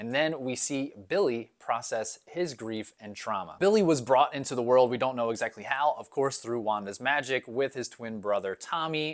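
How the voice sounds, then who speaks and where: A man at a moderate pace, with hardly any pauses and ordinary pitch variation, over a quiet background. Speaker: video commentator. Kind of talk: commentary. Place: home room. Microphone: lapel.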